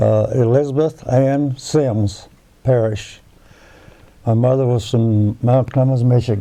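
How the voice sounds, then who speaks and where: A man with an American accent speaks at a very slow pace and medium pitch, with fairly even intonation and very even loudness. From West Virginia (northern, near Wheeling). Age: 90s. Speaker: war veteran. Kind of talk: oral history interview. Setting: at his home. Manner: halting, with false starts.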